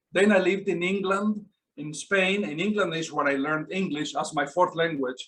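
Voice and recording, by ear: A man talks at a fairly quick pace in a high pitch, with a fairly bright tone and ordinary pitch variation.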